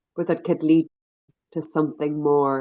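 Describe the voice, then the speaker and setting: A woman with an Irish accent talks at a very deep, low pitch. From Ireland. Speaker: NGO leader and activist. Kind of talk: podcast interview.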